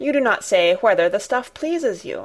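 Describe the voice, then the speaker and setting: A woman puts on a raspy character voice pitched high. Her pitch swings very widely. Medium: read story.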